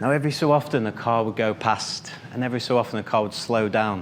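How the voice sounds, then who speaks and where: A man at medium pitch and moderate pace, with audible room echo and noticeable background noise. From northern England. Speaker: finance professional giving a club speech. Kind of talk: prepared speech. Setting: stage with audience.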